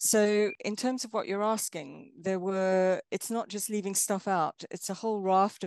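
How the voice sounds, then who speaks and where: A woman with a South African accent speaks at a moderate pace and medium pitch, with ordinary pitch variation and hardly any pauses. The sound is dry and close with no echo, and the background is quiet. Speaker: film studies lecturer. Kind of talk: interview. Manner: thoughtful, with frequent fillers.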